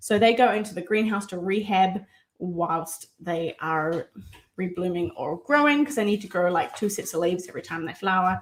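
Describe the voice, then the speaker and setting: A woman talks in a New Zealand accent at a moderate pace. Her pitch is medium, with ordinary variation. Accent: New Zealand, heard by some as South African. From New Zealand (Auckland). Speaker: plant content creator. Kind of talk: live Q&A chat. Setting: home livestream. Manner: casual, rambling with fillers.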